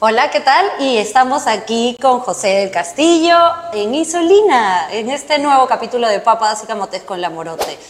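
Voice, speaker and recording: Fairly high in pitch, a woman in a Peruvian accent talks at a moderate pace with very wide pitch swings amid noticeable background noise. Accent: Peruvian Spanish (Lima). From Peru, Lima (Barranco). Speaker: podcast host. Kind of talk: interview.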